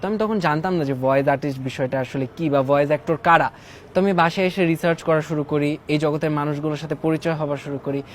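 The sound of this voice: A man talks in a fairly high pitch with fairly even intonation. Background noise is noticeable.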